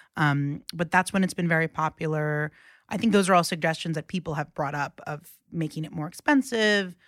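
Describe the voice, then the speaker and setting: A woman with an American accent talks at a fairly quick pace in an ordinary speaking voice, with ordinary pitch variation, on a very clean recording with a silent background and a dry, close sound with no echo. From New York City, Queens (Rockaway). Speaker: journalist. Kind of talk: casual chat.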